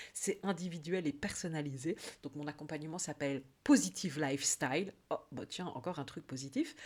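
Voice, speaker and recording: Recorded very cleanly against a silent background, this speaker with a Belgian accent keeps a moderate pace and ordinary pitch variation, with big swings in loudness. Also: woman, very deep, low pitch for a woman. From Belgium. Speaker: life coach. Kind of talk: casual vlog monologue. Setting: YouTube video. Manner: hesitant, many fillers (euh).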